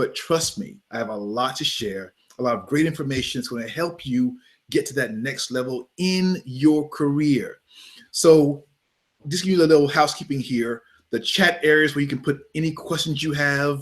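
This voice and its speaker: Animated in tone, a man with an American accent and a fairly high pitch talks at a moderate pace with ordinary pitch variation. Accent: Southern US with a bit of New York. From US South. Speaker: photographer. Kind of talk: webinar pre-show chat. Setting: online video broadcast.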